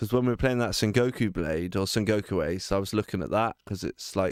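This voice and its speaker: On a very clean recording with a silent background, a man with an English accent talks at a moderate pace. His pitch is fairly low, with ordinary variation. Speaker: gaming streamer. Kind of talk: casual chat. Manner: loud.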